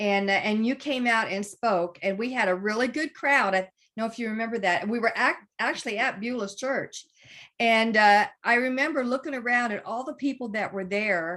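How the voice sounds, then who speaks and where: Over a quiet background, a woman speaks at a moderate pace with a fairly high pitch, a bright, sharp tone and ordinary pitch variation. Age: 70s. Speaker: network marketing team leader. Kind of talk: testimony.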